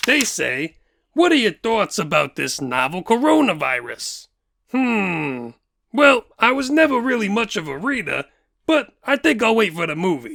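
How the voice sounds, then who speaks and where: Using a put-on character voice, a man speaks at a high pitch with very wide pitch swings and a moderate pace. The recording is very clean, with a silent background. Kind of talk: comedy question-and-answer sketch.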